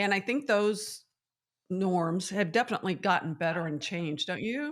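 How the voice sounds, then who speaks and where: In a very clean recording with a silent background, a woman with a plain, everyday voice of medium pitch speaks at a moderate pace with lively intonation. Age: 60s. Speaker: TV host. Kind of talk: casual chat.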